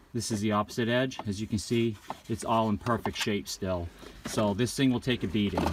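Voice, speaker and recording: Through noticeable background noise, a man with a fairly low pitch talks with fairly even intonation and very even loudness. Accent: New England. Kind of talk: product review talk to camera.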